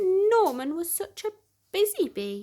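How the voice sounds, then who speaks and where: A woman uses a put-on character voice at an extremely high pitch, speaking at a fairly slow pace with lively intonation. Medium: read story.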